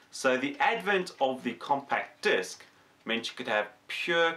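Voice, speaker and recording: Speaking at a fairly slow pace is a man. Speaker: electronics YouTuber and tutor. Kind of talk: tutorial. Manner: casual, conversational with fillers. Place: workshop.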